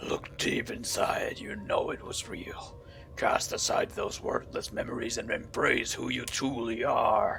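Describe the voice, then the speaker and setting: A man puts on a raspy character voice at a fairly slow pace. Background noise is clearly audible. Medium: game stream. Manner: solemn, grandiose.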